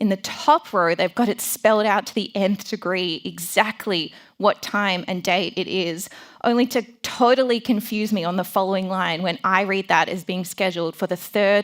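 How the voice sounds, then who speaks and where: A woman with an Australian accent at medium pitch, moderate pace and fairly even intonation, in a very clean recording with a silent background. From Melbourne, Australia. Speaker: design founder and conference speaker. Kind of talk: conference talk.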